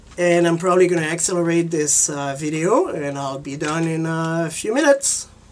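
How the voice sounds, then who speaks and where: The speaker barely pauses at all while noticeable background noise runs underneath. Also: moderate pace. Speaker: software tutorial presenter. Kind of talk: tutorial. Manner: casual, hesitant with fillers.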